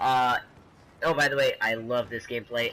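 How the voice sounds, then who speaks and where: A man at medium pitch, with music in the background. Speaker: gaming YouTuber. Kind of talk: casual gameplay commentary.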